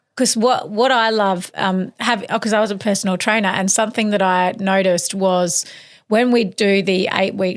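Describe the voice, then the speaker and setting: In a plain, everyday voice, a woman speaks at a moderate pace with fairly even intonation and medium pitch. The recording is very clean and the background silent. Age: 40s. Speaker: podcast host. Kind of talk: interview chat.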